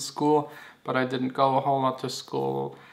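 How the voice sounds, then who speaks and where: A man with a non-native accent speaks at a moderate pace and a medium pitch. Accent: non-native English, noticeable. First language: German. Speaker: DJ and music producer. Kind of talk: Q&A vlog. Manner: casual, some filler words.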